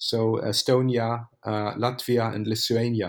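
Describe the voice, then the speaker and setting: A man speaks with a German accent at a medium pitch. His intonation is fairly even, and the recording is very clean with a silent background. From Germany. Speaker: economist. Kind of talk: interview. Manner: halting.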